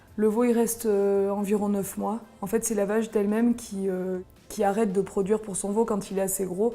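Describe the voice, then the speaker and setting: This woman has a dark, mellow tone at a medium pitch, speaking at a moderate pace with monotone, flat intonation. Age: 30s. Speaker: farmer and cheesemaker. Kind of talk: interview explanation. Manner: hesitant, frequent fillers.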